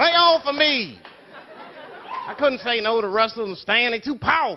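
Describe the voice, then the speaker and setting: With noticeable background noise behind him, a man speaks at a moderate pace. His pitch is extremely high and his intonation lively. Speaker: comedian. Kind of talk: comic poetry performance. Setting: live stage with audience.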